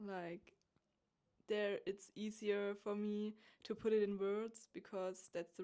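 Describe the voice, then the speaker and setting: With a German accent, a woman of medium pitch speaks with fairly even intonation. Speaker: podcast host. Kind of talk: spiritual monologue. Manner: halting.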